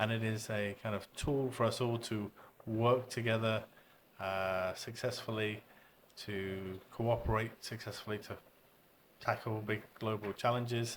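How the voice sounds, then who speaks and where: The speaker has a British accent and a fairly slow pace. The intonation stays monotone and flat. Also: man, medium pitch for a man. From UK. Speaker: English education expert. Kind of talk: podcast interview. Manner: hesitant fillers.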